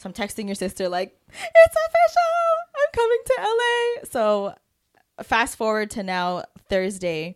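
A woman speaks at a fairly slow pace with big swings in loudness, in a dry, close sound with no echo. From Canada. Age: 30s. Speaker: podcast co-host. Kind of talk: casual chat.

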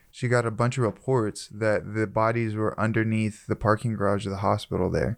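Speaking at a fairly quick pace with hardly any pauses, a man uses a fairly low pitch, a monotone, flat intonation and very even loudness against a quiet background. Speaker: podcast host. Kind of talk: casual banter.

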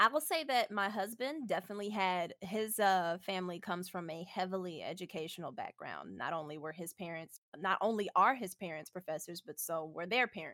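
In an American accent, a woman with medium pitch and a bright, sharp tone speaks at a fairly quick pace. Her intonation is lively, her loudness swings widely, and the sound is dry and close with no echo. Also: hardly any pauses. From Houston, Texas. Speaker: programmer. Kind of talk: casual interview.

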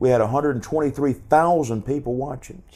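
A man talks at a fairly quick pace in an ordinary speaking voice, his pitch varying in an ordinary way. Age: 50s. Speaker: evangelist. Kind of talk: testimony. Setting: live stream.

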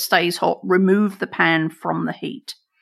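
A woman's medium-pitched voice with an American accent, vocal fry, ordinary pitch variation and a moderate pace, on a very clean recording with a silent background. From England. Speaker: chef. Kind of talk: casual chat.

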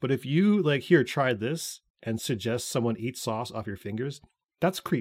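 Using a normal speaking voice, a man with a Canadian accent speaks at a medium pitch and a fairly slow pace, with lively intonation. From Canada. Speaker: podcast host. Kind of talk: casual chat.

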